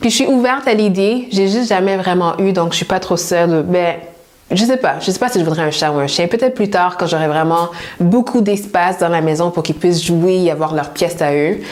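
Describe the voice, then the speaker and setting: In a room with audible echo and noticeable background noise, a woman talks at a fairly quick pace with very even loudness and ordinary pitch variation. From Montreal, Quebec. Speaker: personal stylist youtuber. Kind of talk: casual Q&A vlog.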